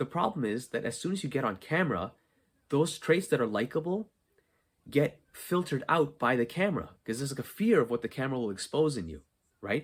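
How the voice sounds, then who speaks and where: Somewhat breathy and fairly high, a man's voice swings very widely in pitch. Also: fairly quick pace. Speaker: podcast host, content creation coach. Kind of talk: solo podcast monologue. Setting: unfinished basement.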